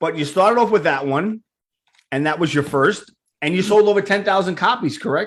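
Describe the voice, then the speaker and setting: The voice carries a New York accent. Its intonation is lively. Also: man. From New York (Queens). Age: 50s. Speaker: podcast host. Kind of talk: casual interview.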